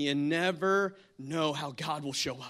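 A man with an American accent speaks in an animated tone on a very clean recording with a silent background. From New Jersey. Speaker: guest pastor. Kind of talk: sermon. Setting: church with congregation.

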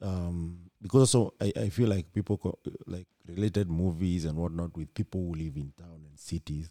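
A man with a very deep, low pitch and a dark, mellow tone speaks at a moderate pace, his loudness swinging widely, with ordinary pitch variation and a dry, close sound with no echo. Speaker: podcast host. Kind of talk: casual interview. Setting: on location at a tech workshop.

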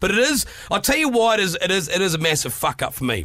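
Lively intonation runs through this man's speech. He has a New Zealand accent. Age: 30s. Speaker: podcast host.

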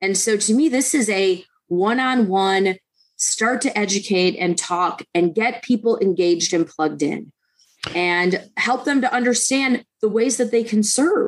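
An unremarkable speaking voice: a woman with an American accent, fairly high in pitch. She goes at a fairly slow pace with ordinary pitch variation and very even loudness. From Detroit, Michigan. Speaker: political candidate. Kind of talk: radio interview.

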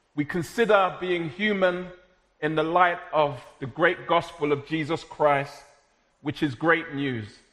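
A speaker with a South London accent talks at a fairly slow pace with ordinary pitch variation. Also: man, high pitch for a man. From South London, Jamaican heritage. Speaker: preacher. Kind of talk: sermon.

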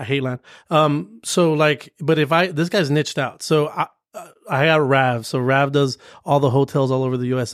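A normal speaking voice with an American accent, fairly even intonation and a fairly quick pace, on a very clean recording with a silent background. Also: man. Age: 40s. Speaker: commercial real estate broker. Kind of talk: casual chat.

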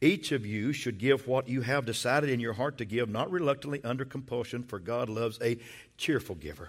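A man talks at a fairly quick pace with lively intonation and some vocal fry. The recording is very clean, with a silent background. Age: 60s. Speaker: pastor. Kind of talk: sermon. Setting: church. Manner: animated.

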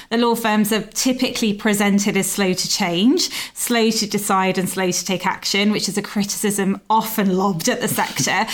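Using a normal speaking voice, a woman talks at a moderate pace. Her pitch is medium and her intonation fairly even. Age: 40s. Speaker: podcast host, legal news editor. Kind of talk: interview.

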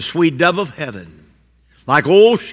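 A man speaks in an American accent. His voice carries vocal fry. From southern Indiana, US. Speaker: pastor. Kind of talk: sermon.

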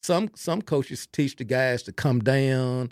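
A man with a Texan accent, ordinary pitch variation, and a dry, close sound with no echo. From Texas (Belton). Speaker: football coach. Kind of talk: interview. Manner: halting, repeats words; quiet, unassuming.

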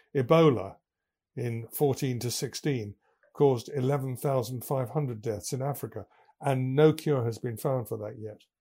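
A man with an English accent speaks in a dark, mellow, somewhat breathy tone at medium pitch, moderate pace and ordinary pitch variation. The recording is very clean with a silent background. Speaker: business podcaster. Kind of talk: scripted monologue. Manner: formal.

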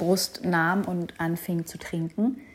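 A woman's medium-pitched voice moves at a very slow pace, its pitch varying in an ordinary way. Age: 30s. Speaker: podcast host, mother. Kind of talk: personal monologue podcast.

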